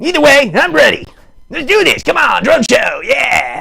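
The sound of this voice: A man does a cartoonish character voice at an extremely high pitch, with big pitch swings, vocal fry, a bright, sharp tone and a fairly slow pace.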